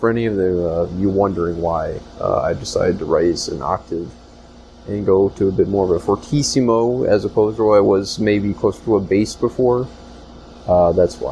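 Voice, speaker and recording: Music runs in the background. A man speaks at a fairly low pitch. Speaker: podcast host and department store worker. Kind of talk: solo podcast monologue. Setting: store back room. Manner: hesitant, many fillers.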